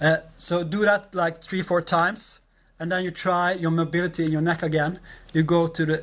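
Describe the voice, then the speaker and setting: Someone with a non-native accent talks at a fairly slow pace on a very clean recording with a silent background. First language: Norwegian. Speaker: massage therapist. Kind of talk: tutorial. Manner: halting.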